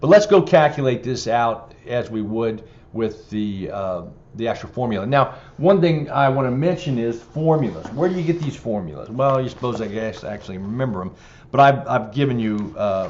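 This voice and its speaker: Over noticeable background noise and audible room echo, a man with a medium pitch talks with lively intonation. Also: moderate pace. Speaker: exam prep instructor. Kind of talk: lecture. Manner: hesitant, many fillers.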